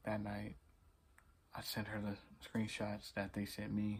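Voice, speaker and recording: His voice is somewhat breathy and fairly low in pitch for a man. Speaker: vlogger. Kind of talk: storytelling. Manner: stuttering; casual.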